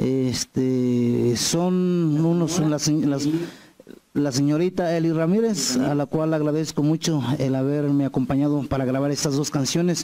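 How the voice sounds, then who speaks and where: Set against a quiet background, a man with a fairly high pitch and a dark, mellow tone speaks at a fairly slow pace, his intonation fairly even and his loudness very even. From Mexico, Morelos; Mexico. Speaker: singer-songwriter; guest. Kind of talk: interview. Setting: TV studio set. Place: studio. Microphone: handheld.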